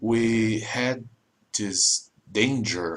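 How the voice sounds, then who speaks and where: This man speaks in a Portuguese accent. His fairly low voice shows ordinary pitch variation. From Brazil. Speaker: YouTuber explaining politics. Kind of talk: informal explainer monologue. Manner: halting, non-fluent English.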